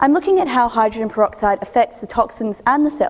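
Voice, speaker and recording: With an Australian accent, a woman talks at a very fast pace and a high pitch, with very wide pitch swings. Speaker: PhD researcher. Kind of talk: three-minute thesis competition talk.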